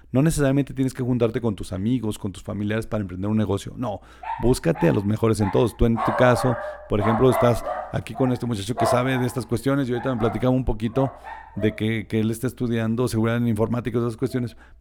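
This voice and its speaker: Very fast and at medium pitch, a man speaks with fairly even intonation against noticeable background noise. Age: 40s. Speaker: tourism entrepreneur. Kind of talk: casual interview.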